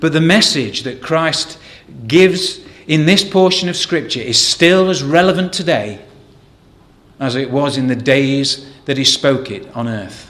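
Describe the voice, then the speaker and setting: In an English accent, a man speaks at a fairly slow pace with lively intonation and a fairly high pitch. Audible room echo carries through the room. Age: 40s. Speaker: lay preacher. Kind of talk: sermon. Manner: hesitant with repetitions.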